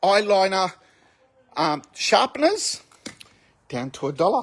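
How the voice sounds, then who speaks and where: A man with an Australian accent talks at a high pitch. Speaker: store owner presenting sale video. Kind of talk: walkthrough sales video.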